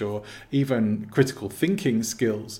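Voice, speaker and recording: A man with an English accent, medium pitch and ordinary pitch variation. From England. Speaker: personal development coach. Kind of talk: interview. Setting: video call.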